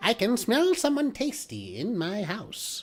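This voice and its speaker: In a squeaky, fairly high-pitched put-on character voice, the speaker goes at a fairly slow pace. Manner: menacing, cackling.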